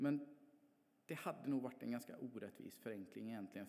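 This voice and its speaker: Male speech at a medium pitch, dark and mellow in tone, with ordinary pitch variation. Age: 40s. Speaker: church member. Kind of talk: testimony.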